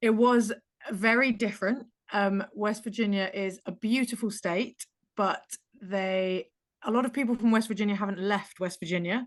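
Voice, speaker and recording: Fairly even intonation from a woman, at a moderate pace. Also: medium pitch for a woman. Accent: English. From England. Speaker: pickleball player. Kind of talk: casual chat.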